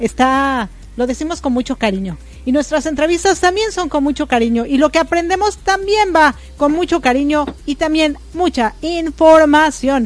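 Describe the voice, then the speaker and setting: A woman speaks at a fairly slow pace with lively intonation. Her tone is animated. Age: 40s. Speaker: radio host. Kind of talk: casual chat.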